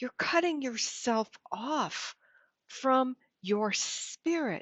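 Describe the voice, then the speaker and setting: A very slow pace with lively intonation. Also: woman. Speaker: spiritual channel host. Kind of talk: spiritual talk to camera. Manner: holds back her voice.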